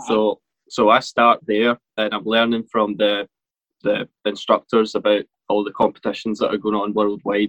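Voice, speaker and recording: In a Glaswegian accent, a man speaks at a moderate pace with a fairly low pitch and monotone, flat intonation. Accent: Glaswegian Scottish. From Scotland, Motherwell near Glasgow. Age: 20s. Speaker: professional rollerblader. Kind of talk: interview conversation.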